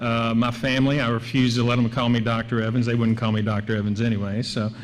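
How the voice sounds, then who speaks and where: A man's medium-pitched voice at a very fast pace, monotone and flat, with very even loudness, audible room echo and noticeable background noise. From Kentucky and Tennessee. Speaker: professor. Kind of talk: award acceptance speech. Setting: stage with audience.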